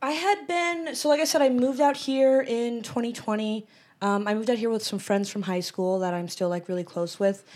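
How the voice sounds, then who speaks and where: A woman with an American accent talks at a fairly quick pace in an unremarkable speaking voice, her fairly high pitch moving with lively intonation. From Western Massachusetts. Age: 20s. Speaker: stand-up comedian. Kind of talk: casual chat. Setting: studio.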